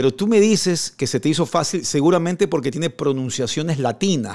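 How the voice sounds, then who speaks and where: Man with a plain, everyday voice, fairly high pitch and lively intonation, a fairly quick pace with hardly any pauses, on a very clean recording with a silent background. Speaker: sports radio and TV host. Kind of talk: radio interview.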